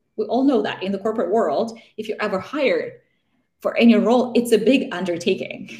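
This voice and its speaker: Her dark, mellow voice sounds somewhat breathy, and the woman speaks at a fairly quick pace. Her pitch varies in an ordinary way. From Russia. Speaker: career coach. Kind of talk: interview conversation, advice. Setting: live stream video call.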